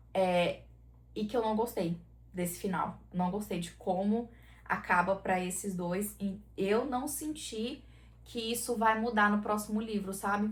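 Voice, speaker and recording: Somewhat breathy, a woman with a fairly high pitch speaks at a fairly slow pace with ordinary pitch variation. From southern Brazil, Santa Catarina. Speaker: book YouTuber. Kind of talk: casual book review vlog. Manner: animated.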